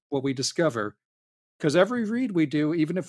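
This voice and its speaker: Speaking very fast in a Californian accent, a man with a fairly high pitch makes very wide pitch swings on a very clean recording with a silent background. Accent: General American (Californian). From San Diego, California. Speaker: voice actor and convention panel organizer. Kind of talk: casual interview.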